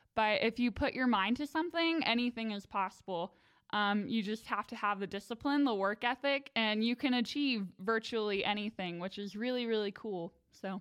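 A woman with a plain, everyday voice talks at a moderate pace and a fairly high pitch, with ordinary pitch variation, hardly any pauses, and a dry, close sound without echo. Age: 20s. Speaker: music student. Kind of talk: interview.

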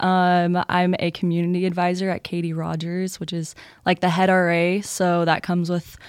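A woman with an American accent speaks in an unremarkable speaking voice, fairly low in pitch and at a moderate pace, on a very clean recording with a silent background. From Texas (Louisville). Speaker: college student, scholarship recipient. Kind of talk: casual chat. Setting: studio.

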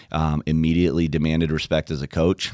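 A man's very deep, low voice in a flat monotone, on a very clean recording with a silent background. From Democratic Republic of the Congo, missionary family. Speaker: college soccer head coach. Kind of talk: interview. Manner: hesitant, many fillers and repetitions.

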